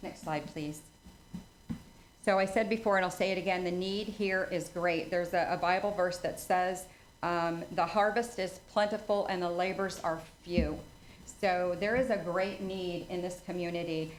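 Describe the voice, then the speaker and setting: A woman talks at a moderate pace with medium pitch and fairly even intonation, and room echo can be heard. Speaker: charity volunteer presenter. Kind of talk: presentation to town council. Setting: council meeting.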